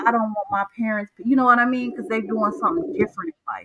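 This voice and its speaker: This woman's voice is pitched fairly high. Her tone is animated. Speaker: live-stream host. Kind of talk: casual chat on a live stream.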